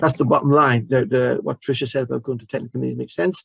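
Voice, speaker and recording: Recorded dry and close with no echo, a man speaks at a very fast pace. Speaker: project panel member. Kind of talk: panel Q&A answer. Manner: halting, many repeated words.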